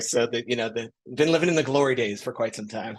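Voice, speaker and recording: A man talks with an American accent at medium pitch. He moves at a fairly quick pace with ordinary pitch variation. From US Midwest, Chicago. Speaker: marketing executive. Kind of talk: podcast interview. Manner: fast.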